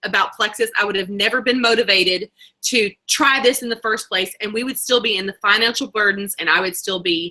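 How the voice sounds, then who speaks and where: Speaking with a Southern US accent, a woman talks at a fairly quick pace, her tone bright and sharp and her intonation lively. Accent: Southern US twang. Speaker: network marketing leader. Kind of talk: motivational talk. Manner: fast.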